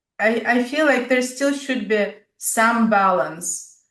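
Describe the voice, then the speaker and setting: A woman in a Russian accent, fairly slow and fairly even in intonation. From Siberia, Russia. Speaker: podcast host. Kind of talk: interview.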